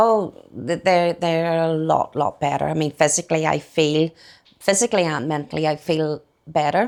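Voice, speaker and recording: This woman's voice sits at a very deep, low pitch, with ordinary pitch variation. She talks at a moderate pace on a very clean recording with a silent background. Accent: Northern Irish. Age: 60s. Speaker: small shop owner. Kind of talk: casual interview. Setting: kitchen of her garden shop. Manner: halting.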